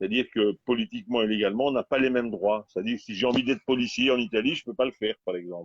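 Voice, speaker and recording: At a very fast pace with hardly any pauses, a man speaks at a medium pitch with ordinary pitch variation. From Belgium. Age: 60s. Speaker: protest movement participant. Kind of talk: casual chat. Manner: halting.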